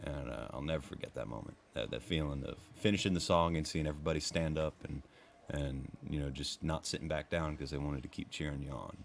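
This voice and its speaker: A man talks at a very fast pace with a very deep, low pitch. Vocal fry runs through his voice. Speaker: country singer. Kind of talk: casual chat. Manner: animated.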